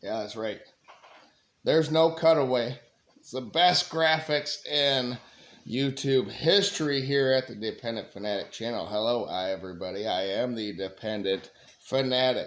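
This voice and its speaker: Speaking at a moderate pace, the man uses lively intonation at a medium pitch, and his loudness swings widely. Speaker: sports YouTuber. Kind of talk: sports preview commentary. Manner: casual, filler-heavy.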